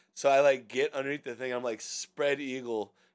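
The speaker has an American accent and an ordinary speaking voice, with ordinary pitch variation at a moderate pace. The recording is very clean, with a silent background. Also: man. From US Pacific Northwest, Seattle area. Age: 30s. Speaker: podcast co-host. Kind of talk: casual chat.

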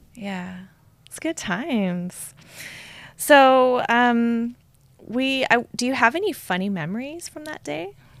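Speaking very slowly with long, frequent pauses, a woman uses a high voice whose pitch swings very widely and whose loudness rises and falls sharply. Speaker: guest host interviewer. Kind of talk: ring announcer intro, playful. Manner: warm, teasing.

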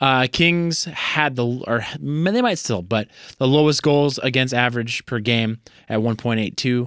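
A man with a plain, everyday voice speaks at a fairly slow pace and medium pitch, with ordinary pitch variation and very even loudness, in a very clean, dry, close recording with a silent background and no echo. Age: 30s. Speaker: sports podcast co-host. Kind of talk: casual chat.

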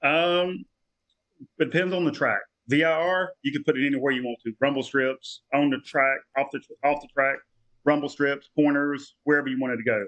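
This man has an ordinary speaking voice, fairly high in pitch, with an American accent. He talks at a moderate pace, and his loudness swings widely. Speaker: amateur race car builder and driver. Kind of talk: casual chat. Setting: video call.

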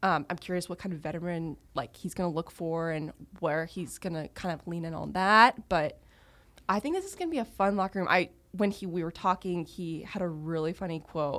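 A woman speaks at a fairly quick pace with an American accent. She has a plain, everyday voice, pitched fairly low. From Texas, US. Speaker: podcast host, league social media coordinator. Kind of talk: casual chat.

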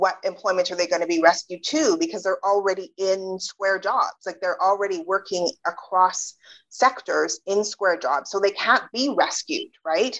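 A woman's normal speaking voice at medium pitch in a Canadian accent, with lively intonation, a moderate pace and hardly any pauses, dry and close with no echo. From Canada. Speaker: sociologist and author. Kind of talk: interview.

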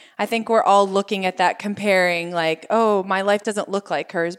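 On a very clean recording with a silent background, a woman has an ordinary speaking voice with a medium pitch and ordinary pitch variation. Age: 40s. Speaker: lifestyle blogger and cook. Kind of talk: casual interview chat.

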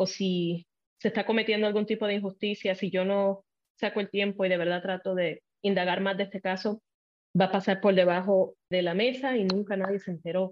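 In a Puerto Rican accent, a woman talks at a fairly quick pace with a medium pitch and monotone, flat intonation. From Puerto Rico. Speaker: TV journalist. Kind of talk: casual interview chat.

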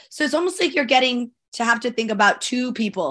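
Against a quiet background, a woman speaks in a bright, sharp tone with lively intonation. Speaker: sports broadcaster. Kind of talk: casual chat.

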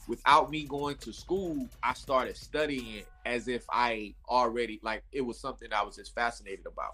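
Here a man speaks with a Southern US accent. His pace is moderate, and his loudness rises and falls sharply. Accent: Southern twang. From North Carolina (Raleigh). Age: 40s. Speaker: clothing brand founder. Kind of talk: interview. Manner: animated.

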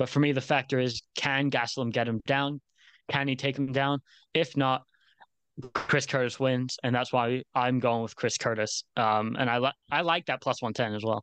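Recorded dry and close with no echo over a quiet background, a man with a plain, everyday voice talks at a moderate pace in a medium pitch. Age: young. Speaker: MMA betting analyst. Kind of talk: casual chat. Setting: video call.

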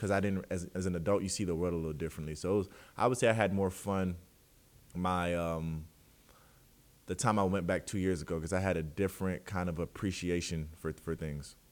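Speaking at a fairly quick pace in a Southern US accent, a man uses a very deep, low pitch with fairly even intonation. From US South. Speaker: professional basketball player. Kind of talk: casual interview. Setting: video call. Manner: casual.

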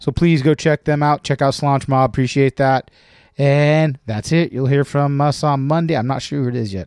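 A man with an ordinary speaking voice and fairly high pitch talks at a moderate pace with fairly even intonation, the very clean recording dry, close and free of echo against a silent background. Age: 40s. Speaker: podcast host. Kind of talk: casual chat. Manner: laughs often.

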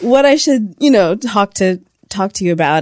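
An unremarkable speaking voice with an American accent and lively intonation, at a moderate pace, in a dry, close sound with no echo and a very clean recording with a silent background. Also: woman. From California. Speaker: news editor. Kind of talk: casual interview.

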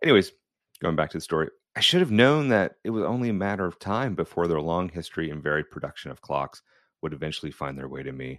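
Very fast and with lively intonation, a man speaks in a very deep, low pitch with vocal fry. The background is quiet. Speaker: podcast host and watch collector. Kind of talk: reading aloud with commentary.

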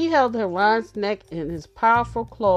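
The pitch varies in an ordinary way as the text is read in an unforced reading voice.

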